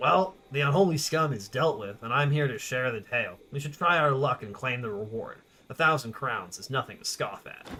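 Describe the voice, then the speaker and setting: A man uses a put-on character voice, gravelly and fairly high-pitched. He goes at a moderate pace, with big swings in loudness. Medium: game stream. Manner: matter-of-fact, terse.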